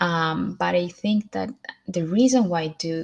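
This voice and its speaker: A somewhat breathy woman's voice, fairly low in pitch, with a Spanish accent. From Colombia, then US, Sweden and South America. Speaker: motivational vlogger. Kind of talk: motivational talk to camera, livestream. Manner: hesitant, many fillers.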